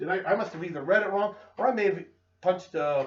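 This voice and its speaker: With ordinary pitch variation, a man talks fairly quickly while noticeable background noise runs underneath. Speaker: chemistry teacher. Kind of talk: tutorial.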